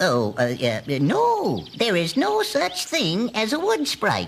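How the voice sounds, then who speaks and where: A man puts on a cartoonish character voice with a high pitch. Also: fairly slow pace. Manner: hesitant, full of uh's and chuckles.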